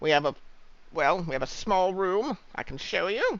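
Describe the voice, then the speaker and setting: A man's put-on character voice, high-pitched and lively in intonation, at a moderate pace. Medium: actual play. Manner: officious, penny-pinching.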